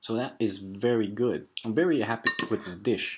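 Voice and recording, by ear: With a slightly husky edge, a man speaks at a moderate pace in a fairly low voice with ordinary pitch variation.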